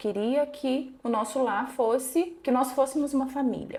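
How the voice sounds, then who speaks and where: A woman's high voice at a fairly slow pace. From interior of São Paulo state, Brazil. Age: 40s. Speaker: psychologist. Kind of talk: interview testimony.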